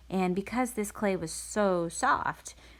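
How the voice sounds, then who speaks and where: A woman speaks in a medium-pitched voice. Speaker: art teacher. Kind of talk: tutorial. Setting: home kitchen. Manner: animated.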